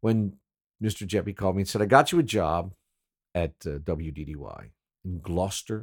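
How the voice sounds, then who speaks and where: This man's pitch is very deep and low, with vocal fry and lively intonation. The recording is very clean, with a silent background. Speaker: former radio DJ, podcast host. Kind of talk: casual storytelling monologue. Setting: home recording, solo. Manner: relaxed, rambling.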